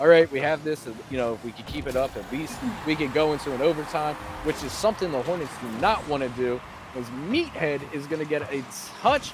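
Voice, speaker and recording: With clearly audible background noise, a man talks using ordinary pitch variation. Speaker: esports caster. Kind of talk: live commentary. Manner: animated.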